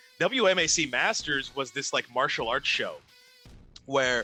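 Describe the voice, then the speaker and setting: Music plays in the background as a man speaks. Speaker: ring announcer. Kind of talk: casual interview conversation.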